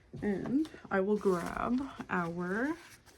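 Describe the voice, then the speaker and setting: Lively intonation marks a woman's speech, with noticeable background noise behind it. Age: 20s. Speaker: budgeting content creator. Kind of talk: casual talk to camera.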